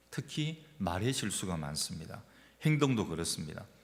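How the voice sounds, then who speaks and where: A man talks at a moderate pace, his pitch swinging very widely, with vocal fry. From Gyeongsang region, South Korea. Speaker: pastor. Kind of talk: sermon. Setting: church.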